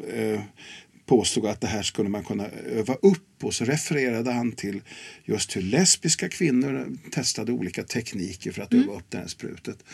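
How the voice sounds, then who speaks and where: Vocal fry, lively intonation and a fairly slow pace. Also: man. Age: 70s. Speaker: sex and relationships educator. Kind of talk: interview.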